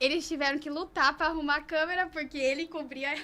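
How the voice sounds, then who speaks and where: Speaking at a fairly quick pace, a woman uses a raised, projected voice that is high-pitched with a bright, sharp tone. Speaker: podcast co-host interviewing a surgeon. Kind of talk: casual chat. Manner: animated.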